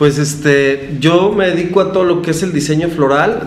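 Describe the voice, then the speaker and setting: A man's speech is heard with audible room echo, with noticeable background noise underneath. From Mexico, Guadalajara. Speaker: florist and business owner. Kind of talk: interview conversation. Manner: hesitant, many fillers.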